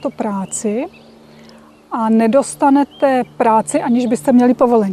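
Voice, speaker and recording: In a dry, close recording with no echo but noticeable background noise, a woman speaks at a high pitch and moderate pace with fairly even intonation. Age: 50s. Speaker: Czech emigrant in South Africa. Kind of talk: interview.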